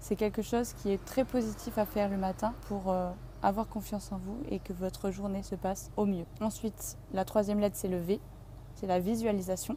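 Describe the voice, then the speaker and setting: With a dark, mellow tone and a somewhat breathy quality, a woman speaks at medium pitch and a moderate pace with fairly even intonation. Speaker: yoga and wellness vlogger. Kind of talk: vlog tutorial. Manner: hesitant, with filler sounds.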